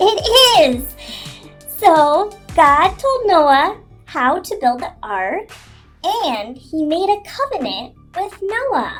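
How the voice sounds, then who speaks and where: Over faint music in the background, a woman does a put-on character voice with a gentle tone, extremely high pitch and very wide pitch swings, speaking at a very slow pace with long, frequent pauses. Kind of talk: children's Bible story telling. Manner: gentle, explanatory.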